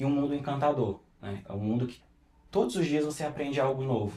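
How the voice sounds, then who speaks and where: Somewhat breathy, a man talks at a medium pitch. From interior of Pernambuco, Brazil. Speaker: perfumer. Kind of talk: podcast interview.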